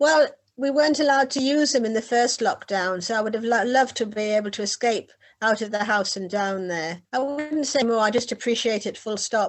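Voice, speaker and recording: A woman with a northern English accent, fairly high in pitch, fairly quick in pace, with ordinary pitch variation. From northeast England, Whitley Bay. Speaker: beach hut owner and poet. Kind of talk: casual interview.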